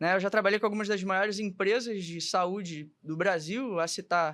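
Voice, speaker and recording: This man has a high voice and speaks at a moderate pace. The recording is very clean, with a silent background. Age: 20s. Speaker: medical student and health tech specialist. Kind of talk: podcast interview.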